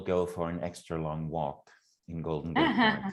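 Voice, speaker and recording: In a very clean recording with a silent background, a man speaks with a German accent. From Germany. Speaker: program facilitator and university lecturer. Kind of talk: casual chat.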